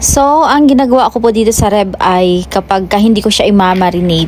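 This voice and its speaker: A woman at a moderate pace with a Western Visayas accent, over noticeable background noise. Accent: Ilonggo. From Philippines, Western Visayas (Hiligaynon region). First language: Hiligaynon (speaking Tagalog). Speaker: cooking vlogger. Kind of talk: casual cooking vlog. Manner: halting, searching for words.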